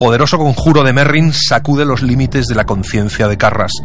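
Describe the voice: A man at medium pitch and fairly quick pace, ordinary pitch variation, faint music in the background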